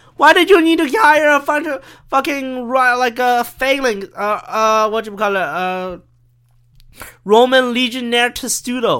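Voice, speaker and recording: In a very clean recording with a silent background, a man speaks in a raised, projected voice at an extremely high pitch, his tone bright and sharp, his pitch varying in an ordinary way at a fairly slow pace. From China. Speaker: podcast host. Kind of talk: casual solo monologue. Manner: animated, hyper.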